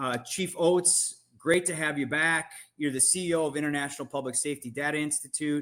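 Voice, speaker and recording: In a normal speaking voice, a man talks at a fairly quick pace with a fairly high pitch and fairly even intonation, on a very clean recording with a silent background. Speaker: podcast host. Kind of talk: podcast interview.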